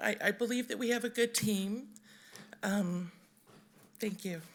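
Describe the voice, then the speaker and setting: A woman's raspy put-on character voice at a medium pitch and a fairly slow pace. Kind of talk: formal speech. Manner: speaking publicly, thanking.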